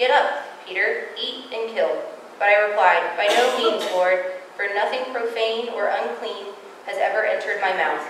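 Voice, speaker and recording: A woman speaks at a fairly high pitch and a moderate pace, with ordinary pitch variation. Audible room echo and light background noise are present. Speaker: scripture reader. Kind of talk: reading aloud. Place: church. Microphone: podium.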